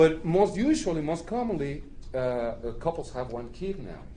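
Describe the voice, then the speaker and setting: A man's fairly high-pitched voice with a dark, mellow tone and a Spanish accent, plus audible room echo. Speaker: immigrant rights organizer, panelist. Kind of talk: panel talk to an audience. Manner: halting, many fillers.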